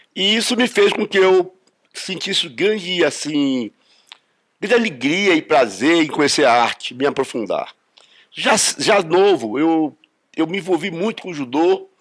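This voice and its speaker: A man's high-pitched voice with lively intonation at a fairly slow pace. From Brazil, Rio de Janeiro then Brasília. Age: 70s. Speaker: judo master. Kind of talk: interview testimony. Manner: halting, repeats words.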